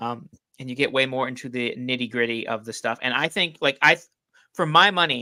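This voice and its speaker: A man with a medium pitch talks at a fairly quick pace with ordinary pitch variation and big swings in loudness, an unremarkable speaking voice. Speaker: book reviewer. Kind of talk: casual chat.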